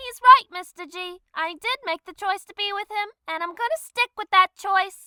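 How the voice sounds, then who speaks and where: A woman puts on a squeaky character voice at an extremely high pitch. She barely pauses at all. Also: moderate pace. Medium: solo performance. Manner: girlish, emotional.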